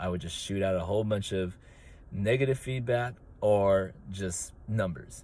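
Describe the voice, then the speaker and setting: Mumbling from a man with a very deep, low pitch, lively intonation and a moderate pace. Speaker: track and field coach. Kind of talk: casual monologue. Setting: in a car. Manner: hesitant, many fillers.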